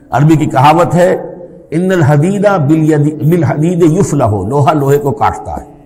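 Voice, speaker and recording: A man's fairly high voice with ordinary pitch variation and very even loudness, amid noticeable background noise. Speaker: Islamic scholar giving a religious lecture. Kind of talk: Islamic sermon (bayan), religious lecture.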